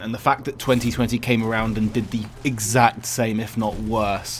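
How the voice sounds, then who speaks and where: The speaker is a man. He has a British accent. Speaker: YouTuber, university student. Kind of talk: personal vlog update. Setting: uni halls bedroom by a window. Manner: self-correcting, stutters at times.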